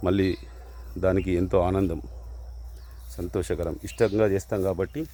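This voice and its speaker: Very deep and low in pitch, a man's dark, mellow voice carries vocal fry and lively intonation. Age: 50s. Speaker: hobby farmer vlogger. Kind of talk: casual vlog talk. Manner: halting.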